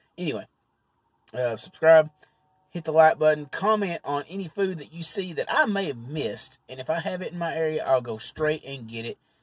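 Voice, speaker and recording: A man talks at a fairly quick pace, with big swings in loudness. The sound is dry with no echo, over a quiet background. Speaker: food reviewer vlogger. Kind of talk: casual vlog chat. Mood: relaxed, friendly. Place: car. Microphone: phone near.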